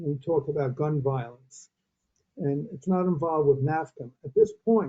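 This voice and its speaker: Here a man speaks in an American accent at a fairly high pitch, his voice somewhat breathy. His pace is moderate and his pitch variation ordinary. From Brooklyn, New York. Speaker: webinar participant. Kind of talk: audience comment.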